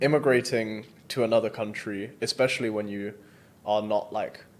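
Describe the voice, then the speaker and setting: A man with a British accent, medium pitch, and fairly even intonation. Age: 20s. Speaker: entrepreneur. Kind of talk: interview. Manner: casual, hesitant with fillers.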